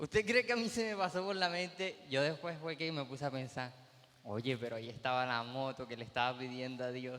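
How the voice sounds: A man at medium pitch, fairly quick with few pauses, ordinary pitch variation, a fairly bright tone and audible room echo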